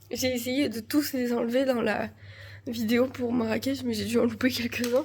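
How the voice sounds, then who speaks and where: A woman with a high pitch speaks with fairly even intonation amid noticeable background noise. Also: moderate pace. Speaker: family vlogger. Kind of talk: casual vlog. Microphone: no microphone.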